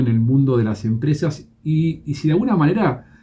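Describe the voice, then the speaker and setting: Somewhat breathy with a dark, mellow tone, a man speaks at a fairly high pitch with ordinary pitch variation. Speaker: radio host. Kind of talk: radio interview.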